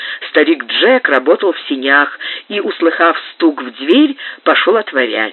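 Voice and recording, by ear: Here someone is reading aloud in a natural voice.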